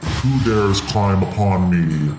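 A man does a put-on character voice, fairly low in pitch, with clear background noise behind him. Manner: booming, menacing.

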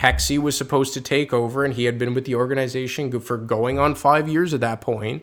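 The recording is very clean with a silent background. A man speaks very fast at medium pitch, his intonation fairly even. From Quebec. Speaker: hockey insider. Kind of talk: casual podcast chat.

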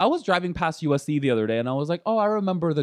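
A man's pitch swings very widely against a quiet background. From Korea. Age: 30s. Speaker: comedian. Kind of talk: casual chat.

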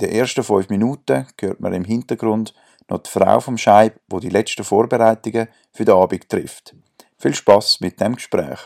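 A man with a fairly low voice and vocal fry speaks at a moderate pace, with ordinary pitch variation and big swings in loudness. The sound is dry and close with no echo, on a very clean recording over a silent background. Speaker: podcast host. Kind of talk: scripted intro; interview. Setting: at a bar.

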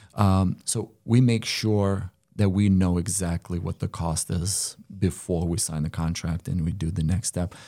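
At a fairly slow pace, a man speaks in a very deep, low voice with a dark, mellow tone and fairly even intonation, in a very clean recording with a silent background. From Lithuania. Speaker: solar company co-owner. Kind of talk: casual interview. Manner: halting, fillers.

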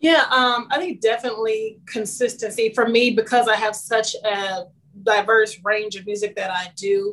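A woman with an American accent talks at a moderate pace in a normal speaking voice. Her pitch is fairly high and her intonation fairly even. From Kansas City, Kansas. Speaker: singer-songwriter. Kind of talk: interview.

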